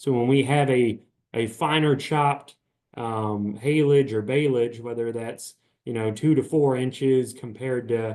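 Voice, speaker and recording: Talking at a fairly slow pace, a man has a Southern US accent. His pitch is medium and his intonation fairly even. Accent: Southern US accent noticeable. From Virginia. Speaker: beef cattle extension specialist. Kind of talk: webinar Q&A. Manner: informal, many fillers and restarts.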